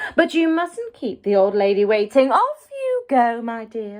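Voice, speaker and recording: Soft-spoken and at a moderate pace, a woman uses a put-on character voice with fairly high pitch. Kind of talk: bedtime story. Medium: read story. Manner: sly, wheedling.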